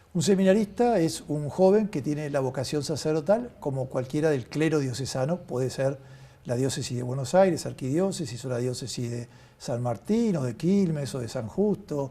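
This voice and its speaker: A somewhat breathy, dark, mellow tone with lively intonation at a moderate pace. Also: man, fairly high pitch for a man. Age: 60s. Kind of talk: interview.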